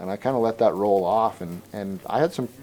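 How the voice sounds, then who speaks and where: Music plays behind a man with an American accent and a fairly low pitch. He talks at a fairly slow pace with lively intonation. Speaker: rancher. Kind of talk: interview. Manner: halting, with repeated words.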